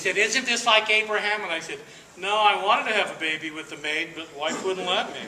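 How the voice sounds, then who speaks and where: A man with an American accent talks at a fairly quick pace in a raised, projected, high-pitched voice, with ordinary pitch variation and big swings in loudness. Room echo and noticeable background noise can be heard. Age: 60s. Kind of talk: speech to an audience. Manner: emphatic, repetitive rhetorical delivery.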